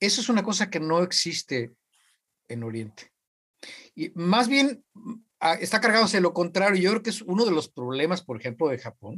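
At a moderate pace and high pitch, a man speaks with very wide pitch swings and long, frequent pauses. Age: 60s. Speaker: university professor. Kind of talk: casual chat.

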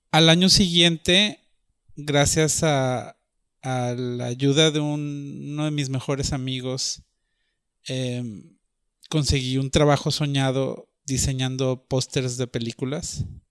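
A man speaks at a very slow pace with a medium pitch and fairly even intonation, recorded very cleanly against a silent background. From northern Mexico (Monterrey). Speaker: artist. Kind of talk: personal storytelling monologue. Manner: hesitant, with frequent fillers.

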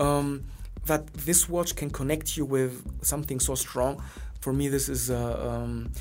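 Through audible room echo and noticeable background noise, a man talks at a moderate pace. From Greece. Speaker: watch brand historian. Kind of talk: interview.

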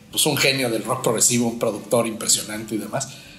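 A man is heard with audible room echo and music in the background. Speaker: podcast host. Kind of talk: casual chat. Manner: halting.

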